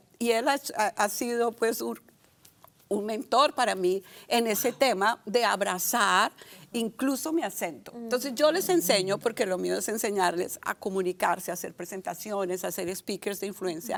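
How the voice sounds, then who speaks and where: A woman's medium-pitched voice in an animated tone, with lively intonation at a moderate pace. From Colombia, Barranquilla. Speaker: communication and public speaking coach. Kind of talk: casual chat.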